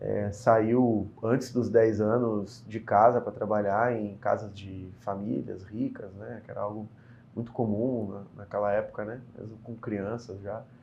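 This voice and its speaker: A man's fairly low, monotone voice at a fairly slow pace, with big swings in loudness and audible room echo. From Brazil, Porto Alegre (Rio Grande do Sul). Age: 30s. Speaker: state politician. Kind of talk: interview.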